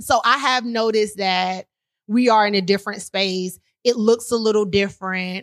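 In a normal speaking voice, a woman with an American accent talks at a moderate pace with fairly even intonation. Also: fairly high pitch for a woman. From Washington DC area, Maryland. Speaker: podcast host. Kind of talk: casual chat. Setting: drinking while recording, podcast.

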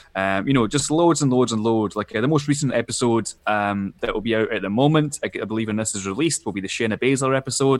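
A man speaks very fast in a Scottish accent. The recording is very clean, with a silent background. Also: medium pitch for a man, ordinary pitch variation, hardly any pauses. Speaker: wrestling podcast co-host, guest. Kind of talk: casual chat.

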